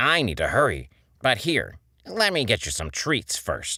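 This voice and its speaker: A put-on character voice moves at a moderate pace on a very clean recording with a silent background. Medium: read story.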